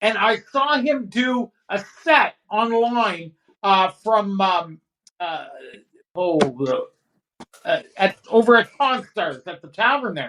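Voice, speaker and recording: A man with a high pitch and a bright, sharp tone talks at a very slow pace, his intonation lively and broken by long, frequent pauses. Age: 60s. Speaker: stand-up comedian. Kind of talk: casual chat.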